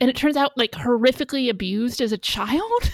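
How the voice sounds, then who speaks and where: In an American accent, a woman speaks at a moderate pace with a high pitch, recorded very cleanly against a silent background with a dry, close sound and no echo. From United States. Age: 30s. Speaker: podcaster. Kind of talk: casual chat.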